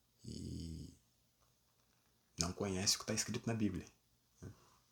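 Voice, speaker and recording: Soft-spoken and somewhat breathy, a man speaks at a fairly slow pace with ordinary pitch variation. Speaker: preacher. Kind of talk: sermon.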